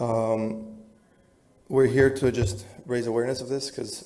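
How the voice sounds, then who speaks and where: Over noticeable background noise and audible room echo, a man with an American accent talks at medium pitch and a fairly slow pace, his intonation fairly even. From New Jersey / New York area. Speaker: resident speaking at public comment. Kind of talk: public comment at council meeting. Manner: halting, many fillers.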